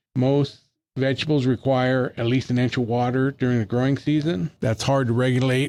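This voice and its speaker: At a moderate pace, a man with a medium pitch talks in a normal speaking voice. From Northern California, Colusa County. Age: 60s. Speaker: master gardener. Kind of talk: casual chat.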